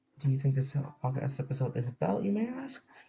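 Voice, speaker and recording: The voice is quiet and somewhat breathy. Its tone is dark and mellow. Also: man. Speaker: podcast host. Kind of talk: casual podcast monologue. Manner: quiet, subdued.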